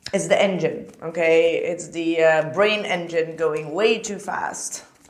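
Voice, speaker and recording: The speech unfolds at a very slow pace with fairly even intonation. Music plays in the background, and room echo is audible. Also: woman, fairly low pitch for a woman. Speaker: tarot reader. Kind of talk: tarot reading.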